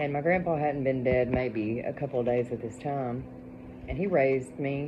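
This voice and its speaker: Speaking at a moderate pace with an Appalachian accent, a woman has a very deep, low voice, and there is noticeable background noise. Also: ordinary pitch variation. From Appalachian Kentucky. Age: 40s. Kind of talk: casual storytelling to camera. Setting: home, dark, during thunderstorm.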